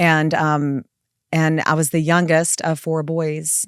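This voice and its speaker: A woman with a Southern US accent and a very deep, low pitch, in a very clean recording with a silent background and a dry, close sound with no echo. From South Carolina (Florence). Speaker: family law attorney and firm founder. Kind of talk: casual podcast interview.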